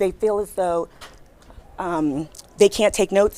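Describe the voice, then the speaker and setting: This is a woman speaking. Her pitch is medium. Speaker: recruiter. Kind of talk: workshop talk. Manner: fast; animated.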